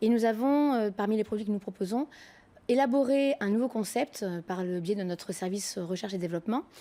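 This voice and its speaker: A woman's fairly high voice, dark and mellow in tone, with ordinary pitch variation and a moderate pace. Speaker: company co-founder and CEO. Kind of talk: TV business interview. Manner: hesitant, many fillers.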